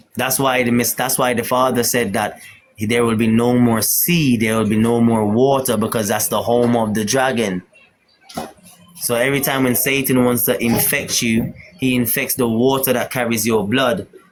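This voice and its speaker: The man's voice sits at a medium pitch and is delivered in a flat monotone with very even loudness. Noticeable background noise is present. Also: moderate pace. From Jamaica. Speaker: spiritual talk show host. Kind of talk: religious teaching in casual live chat. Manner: halting, repeats words.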